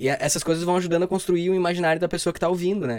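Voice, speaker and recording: A man with a high-pitched voice is heard on a very clean recording with a silent background. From southern Brazil, Rio Grande do Sul. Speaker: theatre student and actor. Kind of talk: casual chat.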